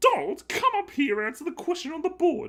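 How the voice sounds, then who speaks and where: A man talks in a put-on character voice at a fairly quick pace. His pitch is extremely high. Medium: read story. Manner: stern, authoritative.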